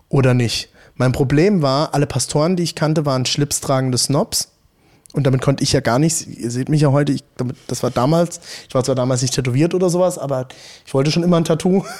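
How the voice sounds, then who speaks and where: A man speaking at a very fast pace, his pitch fairly high. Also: ordinary pitch variation. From Rhineland-Palatinate, Hunsrück. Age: 30s. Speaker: pastor. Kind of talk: casual interview chat. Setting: in a church, in person. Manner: talkative.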